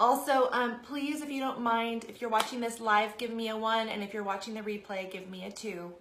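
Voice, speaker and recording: Speech at a fairly quick pace runs with hardly any pauses over noticeable background noise. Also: woman, fairly high pitch for a woman. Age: 30s. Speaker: direct sales consultant. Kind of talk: live stream talk. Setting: live video broadcast. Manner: casual, chatty.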